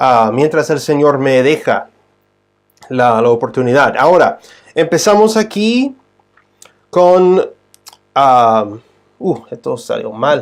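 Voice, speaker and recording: A man with an English accent speaks very slowly, leaving long, frequent pauses. His fairly high voice makes very wide pitch swings. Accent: non-native Spanish, English-speaking. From United States. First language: English (speaking Spanish). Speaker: Bible teacher. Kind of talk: livestream Bible teaching. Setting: live stream. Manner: halting, many fillers and restarts.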